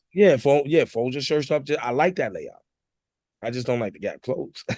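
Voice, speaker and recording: Animated in tone, a man with an American accent speaks at a moderate pace in a fairly high pitch, with ordinary pitch variation. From New Jersey. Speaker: hip hop artist. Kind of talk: casual interview chat.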